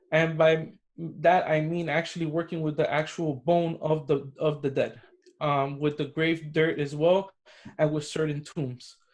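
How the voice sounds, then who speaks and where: A man talks in a monotone, flat intonation with a Spanish accent. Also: fairly high pitch for a man, fairly slow pace. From Cuban American, US. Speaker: spiritual practitioner, necromancer. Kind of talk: interview.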